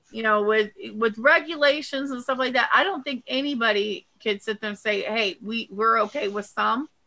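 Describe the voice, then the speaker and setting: Her tone is bright and sharp, as this woman talks at a moderate pace with a fairly high pitch and ordinary pitch variation. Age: 60s. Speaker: vape show panelist. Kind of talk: casual chat. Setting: live stream.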